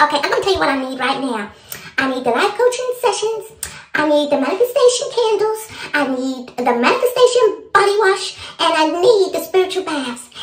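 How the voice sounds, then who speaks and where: Putting on a squeaky character voice, a woman speaks at an extremely high pitch with very wide pitch swings and a fairly quick pace. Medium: comedy sketch. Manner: blunt, profane, emphatic.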